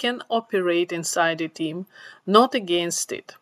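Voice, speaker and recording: Dry and close with no echo, a woman's bright, sharp voice comes at a very slow pace with a non-native accent. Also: very clean recording, silent background. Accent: foreign accent, immigrant. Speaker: tech professional giving career advice. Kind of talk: storytelling monologue.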